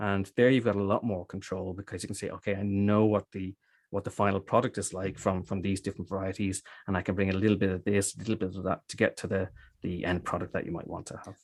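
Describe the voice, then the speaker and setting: Against a quiet background, a man with an Irish accent and a fairly low pitch speaks at a very fast pace in a monotone, flat intonation. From Ireland, Dublin. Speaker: cider maker. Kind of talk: interview. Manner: halting.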